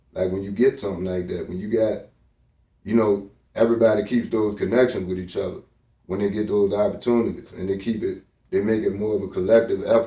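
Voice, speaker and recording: The voice has a dark, mellow tone and fairly even intonation, delivered at a very fast pace. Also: man, fairly low pitch for a man. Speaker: music producer. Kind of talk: casual interview.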